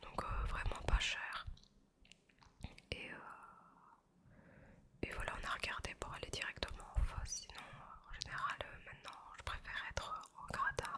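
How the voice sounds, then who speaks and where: A woman whispers at a fairly slow pace, her pauses long and frequent. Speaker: ASMR creator. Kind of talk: ASMR chat while eating pastry. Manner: soft, slow, relaxing. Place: home room. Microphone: studio mic.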